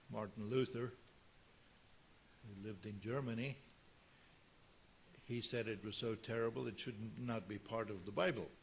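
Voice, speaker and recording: A man speaks at a moderate pace and medium pitch, somewhat breathy, with fairly even intonation. He leaves long, frequent pauses, and the room echo is audible. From South Africa. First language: Afrikaans. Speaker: pastor. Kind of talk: sermon.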